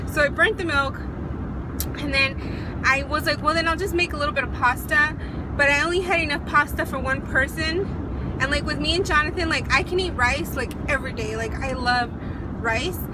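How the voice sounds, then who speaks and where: There is noticeable background noise as a woman talks at a fairly quick pace. The sound is dry, with no echo. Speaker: vlogger. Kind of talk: casual vlog chat. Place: car. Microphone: phone near.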